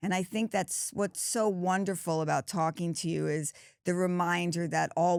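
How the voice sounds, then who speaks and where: A very clean recording with a silent background captures a woman. Her pitch varies in an ordinary way. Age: 60s. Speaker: podcast host. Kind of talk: casual chat.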